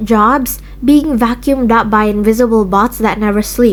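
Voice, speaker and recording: There is noticeable background noise as a woman speaks at a moderate pace with ordinary pitch variation. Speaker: video essayist. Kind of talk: rant video. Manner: halting.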